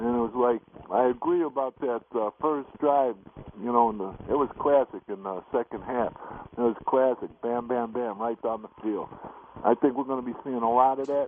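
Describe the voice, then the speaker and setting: With an American accent and a normal speaking voice, a man talks at a moderate pace in a medium pitch with fairly even intonation. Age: 60s. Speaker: caller. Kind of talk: radio call-in.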